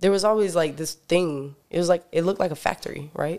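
A normal speaking voice with an American accent moves at a fairly quick pace with fairly even intonation. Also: man. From US South, North Carolina. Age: 20s. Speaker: musician. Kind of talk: casual chat.

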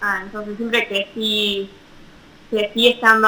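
Speaking at a fairly slow pace, a woman has a fairly high pitch, a bright, sharp tone and monotone, flat intonation. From Argentina. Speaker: professional mountain bike racer. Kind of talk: interview. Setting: video call.

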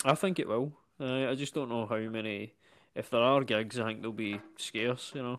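In a very clean recording with a silent background, a man with a Scottish accent speaks at medium pitch with ordinary pitch variation and a moderate pace. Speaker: comedian. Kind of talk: casual chat.

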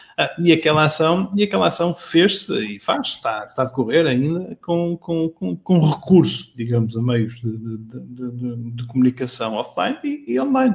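A man with a fairly high pitch at a moderate pace, lively intonation and hardly any pauses. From Portugal, Matosinhos. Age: 40s. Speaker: marketing director. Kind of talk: interview. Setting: live stream. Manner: halting, many repetitions and fillers.

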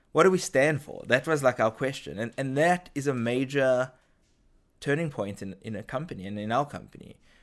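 A man talks at a fairly quick pace and medium pitch, with a slight South African accent and big swings in loudness. The recording is very clean, with a silent background. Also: ordinary pitch variation. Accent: subtle South African. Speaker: head of brand marketing. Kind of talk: interview. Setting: studio.

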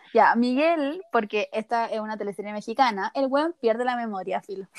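A woman with a Chilean accent talks at a moderate pace and with lively intonation. The sound is dry and close, with no echo. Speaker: podcast co-host. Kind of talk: casual chat. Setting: recording from her bed.

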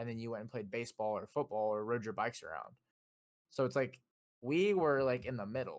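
At a fairly quick pace, this is an ordinary speaking voice with ordinary pitch variation. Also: man, medium pitch for a man. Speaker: podcast co-host. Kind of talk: casual chat. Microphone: new mic.

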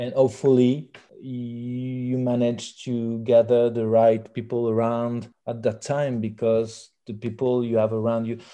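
A man with a French accent speaks in a dark, mellow tone with monotone, flat intonation. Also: medium pitch for a man, quiet background. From rural France. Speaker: musician. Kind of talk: interview. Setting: phone call. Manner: halting.

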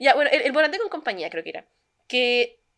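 A woman's bright, sharp tone in a very clean recording with a silent background. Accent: Chilean. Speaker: podcast co-host. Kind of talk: casual chat.

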